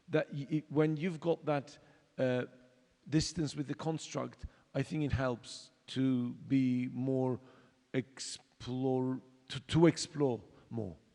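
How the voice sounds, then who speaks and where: A man's medium-pitched voice with a dark, mellow tone and ordinary pitch variation, very slow pace and long, frequent pauses. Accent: Turkish. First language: Turkish. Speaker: exiled theatre artist, panelist. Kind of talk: panel discussion. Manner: halting, many fillers.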